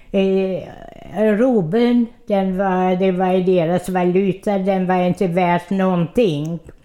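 A woman speaks at a very slow pace and a medium pitch, her intonation fairly even. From Odessa, Ukraine. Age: 90s. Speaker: centenarian interviewee. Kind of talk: life story interview.

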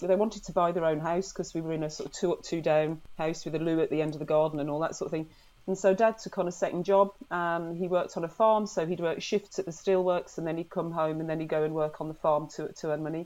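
With hardly any pauses, a woman speaks at a very fast pace in a fairly low pitch, with a dark, mellow tone and fairly even intonation. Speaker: nurse and sailor. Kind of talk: radio interview.

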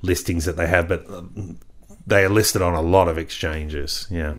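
With an Australian accent, a man speaks at a fairly quick pace, his very deep, low pitch held in fairly even intonation. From rural Australia. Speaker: stock market analyst. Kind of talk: interview.

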